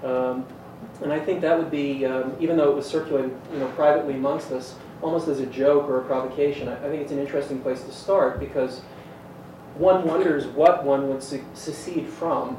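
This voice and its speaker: Through audible room echo and noticeable background noise, a man speaks at a fairly quick pace, fairly high in pitch, with fairly even intonation. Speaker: panelist. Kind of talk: panel discussion. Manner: loud.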